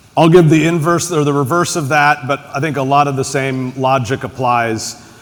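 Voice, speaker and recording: A man's fairly high voice with an American accent, at a moderate pace and fairly even intonation, over noticeable background noise. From United States. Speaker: tech executive, panelist. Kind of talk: panel discussion.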